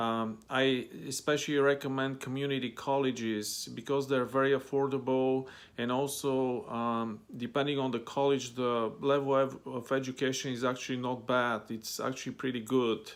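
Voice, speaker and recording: A man speaks with a Bulgarian accent at a medium pitch and moderate pace, with hardly any pauses. His intonation is monotone and flat, and the recording is very clean with a silent background. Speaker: language-learning vlogger. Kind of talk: casual talk to camera. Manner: hesitant, many fillers.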